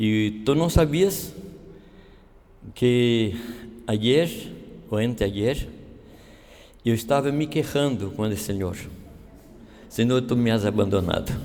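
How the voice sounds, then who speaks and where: Speaking at a very slow pace with long, frequent pauses, a man has a medium-pitched, dark, mellow tone and ordinary pitch variation. Audible room echo surrounds his voice. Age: 70s. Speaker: pastor. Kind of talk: sermon. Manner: halting.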